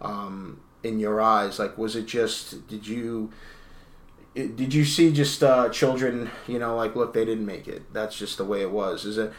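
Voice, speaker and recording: A man's plain, everyday voice at a medium pitch, with ordinary pitch variation and a fairly slow pace. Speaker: podcast host and journalist. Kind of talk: casual interview. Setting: home interview, recorded in guest's house.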